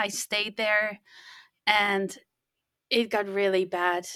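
A woman's medium-pitched voice with a Dutch accent, dry and close with no echo, on a very clean recording with a silent background. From Netherlands. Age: 50s. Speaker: podcast manager. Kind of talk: interview.

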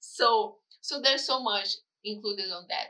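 A woman with a Brazilian accent speaks in a raised, projected voice with a bright, sharp tone. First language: Portuguese. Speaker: photographer and videographer. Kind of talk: casual interview. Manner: halting.

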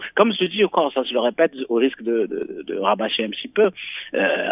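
This man speaks at a fairly quick pace. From Morocco, Marrakech. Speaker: novelist. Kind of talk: interview. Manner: halting, many repetitions.

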